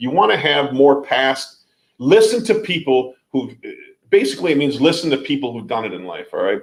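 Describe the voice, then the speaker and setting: A man with vocal fry talks at a moderate pace, with very wide pitch swings and big swings in loudness. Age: 40s. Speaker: youtuber and liquidation store owner. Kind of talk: live stream chat. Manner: repetitive, stammering.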